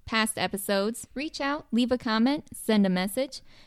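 In an ordinary speaking voice, the speech moves at a moderate pace with ordinary pitch variation and a dry, close sound with no echo. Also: woman. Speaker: podcast co-host. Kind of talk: casual chat.

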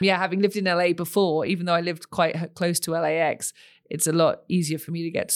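In a British accent, a woman with a fairly low pitch talks very fast in a monotone, flat intonation, on a very clean recording with a silent background. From United Kingdom. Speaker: sports organization CEO. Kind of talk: interview conversation.

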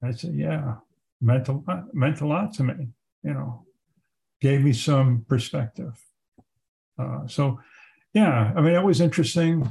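A man with an American accent speaks in a fairly high, somewhat breathy voice with a dark, mellow tone, lively intonation and a fairly slow pace broken by long, frequent pauses. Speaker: war veteran. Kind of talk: interview. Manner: halting.

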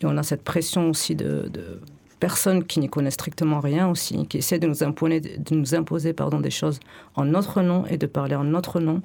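The voice carries a dark, mellow tone with vocal fry. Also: woman, very deep, low pitch for a woman, fairly even intonation, moderate pace. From France, Bordeaux. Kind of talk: radio discussion. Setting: radio studio.

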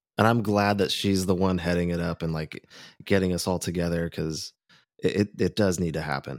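A man with an American accent and a very deep, low pitch speaks fairly quickly with fairly even intonation. The recording is very clean, with a silent background and a dry, close sound with no echo. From California, Orange County. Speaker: friend of the host, musician. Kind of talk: casual chat.

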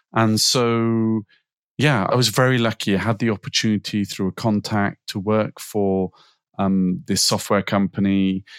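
An unremarkable speaking voice goes at a fairly slow pace with fairly even intonation in a dry, close sound with no echo. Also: man, fairly low pitch for a man. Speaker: sales director in life sciences. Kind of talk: podcast interview.

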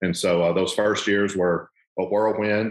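A man with a Southern US accent speaks at a moderate pace in a fairly low voice. His intonation is monotone and flat. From US South, southern Arkansas. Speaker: ministry regional director. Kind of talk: casual interview.

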